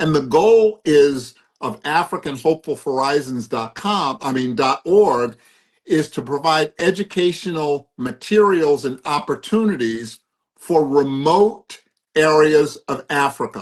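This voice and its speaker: Speaking in an American accent with an ordinary speaking voice, a man talks at a fairly slow pace, his pitch fairly high and his intonation lively. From US East Coast. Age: 60s. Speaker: philanthropist and addiction recovery coach. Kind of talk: interview.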